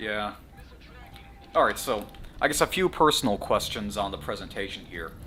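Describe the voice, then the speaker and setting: A man with an American accent speaks at a moderate pace in a fairly low voice, his pitch swinging very widely. He leaves long, frequent pauses, with music playing in the background. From US South, Atlanta, Georgia. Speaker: podcast host. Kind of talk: casual chat.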